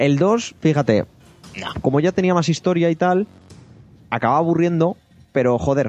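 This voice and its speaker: Over music in the background, a man with a fairly high pitch and an animated tone talks at a moderate pace with ordinary pitch variation and long, frequent pauses, in a dry, close sound with no echo. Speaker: podcast host. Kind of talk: casual chat.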